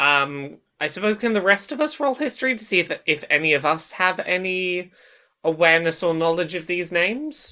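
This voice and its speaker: With a bright, sharp tone and a fairly low pitch, a woman talks at a fairly slow pace with very wide pitch swings. The recording is very clean, the background silent. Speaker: tabletop game player. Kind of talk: casual tabletop roleplaying game podcast.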